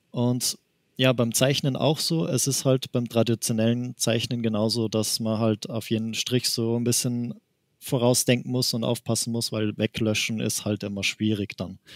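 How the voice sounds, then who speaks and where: With an Austrian accent, a man speaks at a moderate pace and medium pitch with fairly even intonation, in a dry, close sound with no echo. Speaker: manga artist. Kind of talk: interview. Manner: laughs often.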